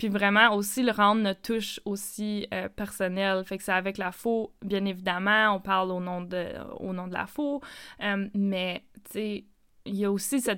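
This is an unremarkable speaking voice from a woman, medium in pitch, with fairly even intonation. She talks at a fairly slow pace on a very clean recording with a silent background. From Northern Ontario, Hearst. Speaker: podcast host. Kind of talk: casual chat.

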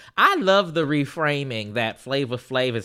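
In a very clean recording with a silent background, a man talks at a fairly slow pace in a raised, projected voice with a bright, sharp tone. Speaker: podcast co-host. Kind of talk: casual chat.

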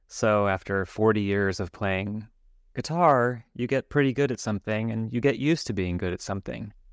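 A normal speaking voice with an American accent and ordinary pitch variation, against a quiet background. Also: man, fairly low pitch for a man, moderate pace. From Los Angeles, Hollywood. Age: 50s. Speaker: musician and music teacher. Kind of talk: podcast interview.

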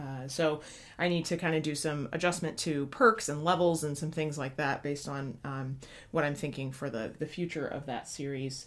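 In an American accent, a woman talks at a very deep, low pitch. Her pitch varies in an ordinary way. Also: moderate pace. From US Midwest. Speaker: podcast co-host. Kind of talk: casual chat.

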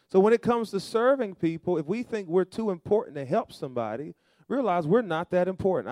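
A man's dark, mellow voice with very wide pitch swings at a fairly quick pace. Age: young. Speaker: pastor. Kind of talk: Sunday sermon, call-and-response preaching to a live congregation. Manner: exhorting, rhythmic preacher cadence with repeated phrases; animated, prompting the crowd for amens and responses.

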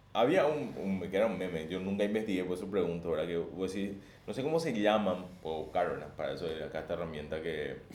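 A man talks at a very fast pace in a very deep, low voice with ordinary pitch variation. Audible room echo surrounds the speech. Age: 30s. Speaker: podcast co-host. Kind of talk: casual chat.

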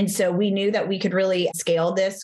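A woman speaks in a Texan accent. Her pitch is medium. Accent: American, Texan.

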